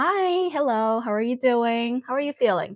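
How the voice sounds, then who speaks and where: In a quiet background, a woman with a Korean accent speaks with very wide pitch swings and a dry, close sound with no echo. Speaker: nurse. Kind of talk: tutorial. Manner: hesitant, many fillers.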